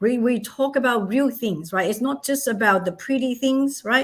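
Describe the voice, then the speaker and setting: A woman speaks with a non-native accent at a fairly high pitch. Her tone is animated and her intonation lively. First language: not English. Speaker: charity founder and author. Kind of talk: interview.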